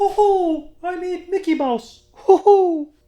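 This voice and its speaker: The voice is a put-on character with extremely high pitch. Its delivery is fairly slow. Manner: bad, exaggerated impression.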